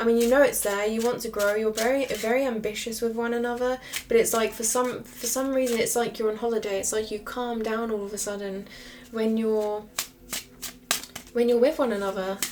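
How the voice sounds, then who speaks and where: Over noticeable background noise, a woman talks at a fairly quick pace with a fairly high pitch and monotone, flat intonation. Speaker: tarot reader. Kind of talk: tarot reading monologue. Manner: fast.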